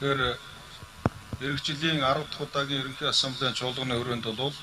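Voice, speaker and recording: Fairly quick speech with a Mongolian accent and fairly even intonation over noticeable background noise. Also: man. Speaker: university representative. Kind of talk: formal answer at a meeting.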